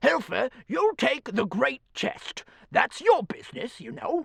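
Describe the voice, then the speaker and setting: The speaker uses a put-on character voice pitched high. The delivery comes at a fairly slow pace. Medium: read story. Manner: self-important, knowing.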